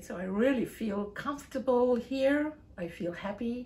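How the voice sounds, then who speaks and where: Over noticeable background noise, the voice moves at a fairly slow pace with ordinary pitch variation. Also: woman. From South Africa, West Coast. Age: 50s. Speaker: English teacher. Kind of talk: casual interview. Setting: at her home.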